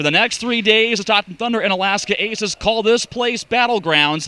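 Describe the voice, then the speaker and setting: A man's raised, projected voice sits at a high pitch with lively intonation, dry and close with no echo. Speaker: radio play-by-play announcer. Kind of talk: sports preview hosting.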